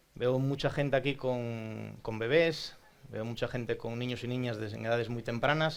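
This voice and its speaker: At a fairly slow pace, a man speaks at medium pitch with fairly even intonation. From Asturias, Spain (Oviedo). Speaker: psychologist and speech therapist. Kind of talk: talk to audience. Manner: conversational, frequent tag questions.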